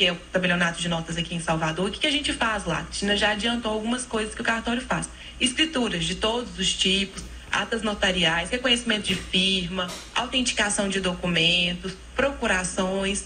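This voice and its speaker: A woman's medium-pitched voice in a Minas Gerais accent, fairly quick, with ordinary pitch variation, music in the background and audible room echo. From Minas Gerais, Brazil. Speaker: notary. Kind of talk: radio interview. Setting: radio studio.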